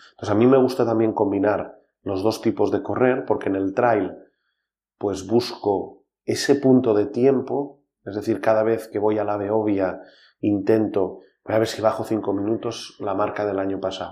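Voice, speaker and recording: With fairly even intonation, a man talks at a moderate pace in a fairly low pitch and a dark, mellow tone. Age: 40s. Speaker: trail race organizer and executive. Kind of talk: interview.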